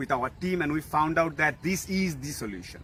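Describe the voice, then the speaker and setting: Speaking at a fairly quick pace with a Bengali accent, a man has a fairly high pitch and ordinary pitch variation. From Bangladesh. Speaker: social media influencer. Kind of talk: direct-to-camera video address. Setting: outdoors. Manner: animated.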